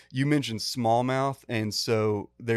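A man's medium-pitched, ordinary speaking voice, with fairly even intonation, in a very clean recording against a silent background. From Texas. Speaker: fly fishing guide and teacher. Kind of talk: casual chat.

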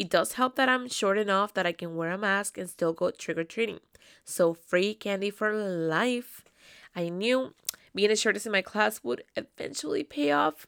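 With a Spanish accent, a woman speaks in an animated tone at a moderate pace with ordinary pitch variation, on a very clean recording with a silent background. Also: medium pitch for a woman, dry, close sound with no echo. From South America, raised in Canada from age ten. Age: 20s. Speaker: podcast host. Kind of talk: solo casual monologue.

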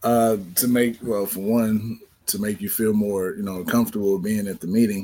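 A man with an American accent, fairly low pitch and a dark, mellow tone, monotone and flat at a moderate pace, on a very clean recording with a silent background. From East St. Louis, US Midwest. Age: 30s. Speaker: high school teacher. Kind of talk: casual conversation on talk show.

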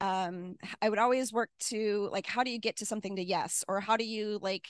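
A woman with a US Midwestern accent is heard over a quiet background, the sound dry and close with no echo. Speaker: retired air force officer and tech executive. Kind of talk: talk with Q&A.

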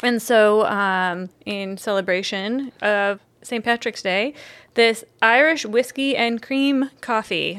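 An ordinary speaking voice from a woman, fairly high in pitch. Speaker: podcast host and coffee company operations manager. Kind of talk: casual chat.

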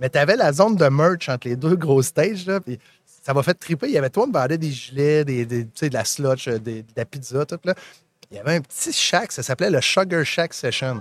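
A man with a plain, everyday voice speaks at a moderate pace with lively intonation, sounding dry and close with no echo. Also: fairly high pitch for a man. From Magdalen Islands, Quebec. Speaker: podcast host. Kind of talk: live interview. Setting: live event booth.

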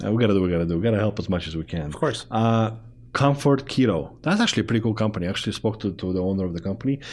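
A man with a non-native accent talks very fast at a fairly low pitch. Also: ordinary pitch variation. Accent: foreign-accented English. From immigrant to Canada. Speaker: show host. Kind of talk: casual interview.

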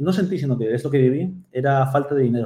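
A man talks very fast at a fairly high pitch, with a dark, mellow tone that is somewhat breathy. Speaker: Amazon seller and mentor. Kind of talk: interview. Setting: video call.

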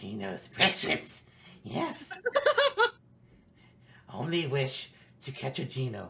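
Using a put-on character voice at a medium pitch, a man speaks fairly slowly with long, frequent pauses. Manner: obsessive, whining.

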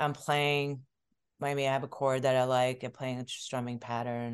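Against a quiet background, a woman speaks in a very deep, low voice. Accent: American. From New York (Queens), US. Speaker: musician and energy healer. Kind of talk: interview.

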